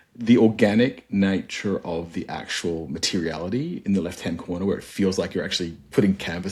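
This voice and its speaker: A man with an Australian accent speaks in a fairly low pitch with a dark, mellow tone. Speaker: cruise line marketing executive. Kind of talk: casual interview chat. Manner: animated.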